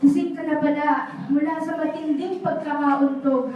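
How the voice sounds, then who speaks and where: A high-pitched woman talks at a fairly slow pace amid noticeable background noise. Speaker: spoken word poet. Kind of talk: spoken word poetry performance, dramatic and emotional, with pauses between lines. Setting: live at a café venue with an audience. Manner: slow, deliberate, wistful and heartfelt, rising to pleading emphasis on key lines.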